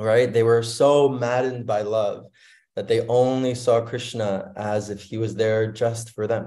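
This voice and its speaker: Fairly slow and fairly even, a man's dark, mellow tone comes through over a quiet background. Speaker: speaker. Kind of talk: sermon. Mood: warm, devotional. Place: home room. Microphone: video call.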